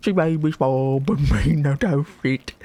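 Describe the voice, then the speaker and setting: Gravelly and pitched low-to-middle, this is a put-on character voice. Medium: game stream. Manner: broken grammar, slow.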